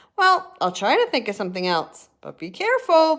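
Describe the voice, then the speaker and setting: A high, put-on character voice moves at a fairly quick pace with very wide pitch swings. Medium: read story.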